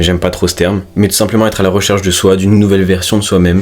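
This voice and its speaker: A man speaks in a very deep, low voice with flat, monotone intonation over noticeable background noise. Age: 20s. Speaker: fitness coach and self-improvement youtuber. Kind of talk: casual vlog monologue. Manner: natural, unpolished.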